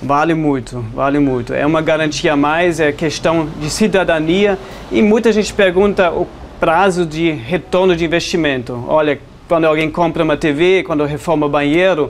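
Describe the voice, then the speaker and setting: With a German accent, a man talks in a fairly high pitch with ordinary pitch variation and very even loudness over noticeable background noise. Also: moderate pace. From Germany. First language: German (speaking Portuguese). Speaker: homeowner with solar panels. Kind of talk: interview.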